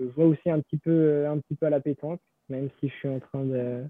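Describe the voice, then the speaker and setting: Fairly even intonation accompanies this fairly slow delivery. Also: man. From western France, Savenay. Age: 20s. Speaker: professional cyclist. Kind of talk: interview. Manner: halting, many repetitions.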